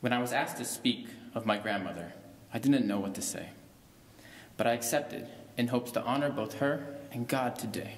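A man's medium-pitched voice at a fairly quick pace, fairly even in intonation, with long, frequent pauses and audible room echo. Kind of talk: spoken word poem eulogy at a funeral. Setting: funeral service. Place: church. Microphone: podium.

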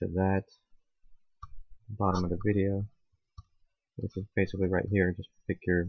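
Mumbling in a very deep, low voice, a man talks at a moderate pace in a flat monotone with long, frequent pauses. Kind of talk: tech tutorial screen recording. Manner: mumbling, low volume; hesitant, many fillers.

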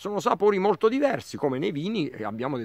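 A man talks against a quiet background. The sound is dry, with no echo. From Abruzzo, Italy. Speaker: agronomist and plant nursery owner. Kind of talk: casual interview. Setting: outdoors in olive field. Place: farm. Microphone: phone near.

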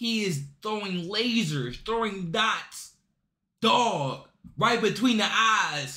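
A man uses a raised, projected voice with a bright, sharp tone. His pitch shows ordinary variation over a quiet background. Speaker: reaction YouTuber. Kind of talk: casual sports reaction video. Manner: animated, excitable; slangy, casual. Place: home room.

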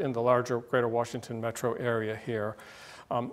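A man's monotone voice with flat intonation. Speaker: guest lecturer. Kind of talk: lecture. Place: classroom. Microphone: podium.

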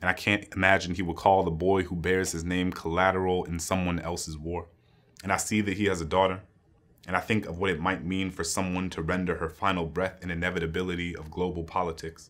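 A quiet, very deep, low male voice in an American accent, very fast and monotone, with flat intonation. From US. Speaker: poet. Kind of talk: spoken-word poetry reading, solemn and rhythmic. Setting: stage with audience. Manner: measured, building cadence of anaphoric 'And I' lines; grave, quietly impassioned, lingering on moral weight. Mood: solemn, reflective. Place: studio.

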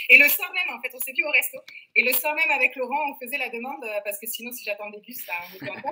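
With light background noise behind her, a woman uses a raised, projected voice at a high pitch, her tone bright and sharp, talking very fast with big swings in loudness. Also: ordinary pitch variation. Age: 40s. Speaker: fitness program client, mother. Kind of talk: interview. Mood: lively, enthusiastic. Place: home room. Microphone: webcam.

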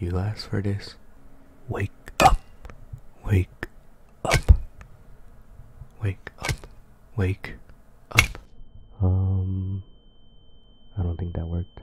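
Over noticeable background noise, a man with a very deep, low pitch speaks at a very slow pace in a monotone, flat intonation, with big swings in loudness and long, frequent pauses. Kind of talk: ASMR roleplay, boyfriend waking you up. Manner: soft-spoken, whispering.

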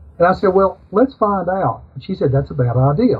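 A man speaks with lively intonation. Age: 60s. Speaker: music store owner; interview guest. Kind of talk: interview. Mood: warm, humorous. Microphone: video call.

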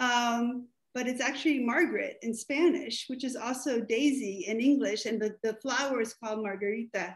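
A high-pitched woman's voice at a moderate pace, with ordinary pitch variation, hardly any pauses and a quiet background. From Mexico. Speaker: playwright; guest. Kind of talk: casual chat. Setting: video call. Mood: reflective, warm. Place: home room. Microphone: video call.

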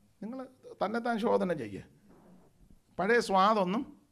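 A man speaks in an animated tone. His voice has a bright, sharp tone. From Kerala, India. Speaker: pastor. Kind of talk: sermon. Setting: church convention with audience. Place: church. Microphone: handheld.

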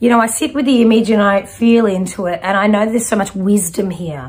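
Against a quiet background, a woman speaks in a somewhat breathy voice with ordinary pitch variation. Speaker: intuitive reader. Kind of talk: spiritual reading to viewer. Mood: warm, animated. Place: home room.

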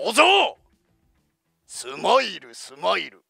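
A man puts on a raspy, theatrical character voice. He speaks very slowly as music plays in the background. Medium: dub. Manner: rough, gruff, theatrical.

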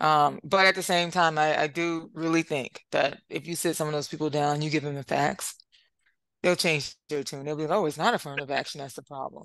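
Over a quiet background, a woman with a very deep, low pitch speaks at a fairly quick pace with fairly even intonation, in a dry sound with no echo. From United States. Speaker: lawyer and author; lawyer. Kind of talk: interview. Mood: engaged, explanatory. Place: home room. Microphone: headset.

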